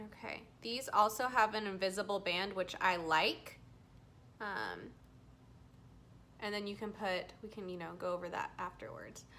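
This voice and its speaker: A woman with a medium pitch speaks with fairly even intonation and long, frequent pauses. Her loudness swings widely. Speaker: beauty vlogger. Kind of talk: tutorial. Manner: slow.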